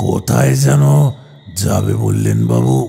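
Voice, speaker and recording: Using a put-on character voice, a man speaks with lively intonation at a very deep, low pitch. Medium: read story. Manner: stammering, deferential, calls passenger sir.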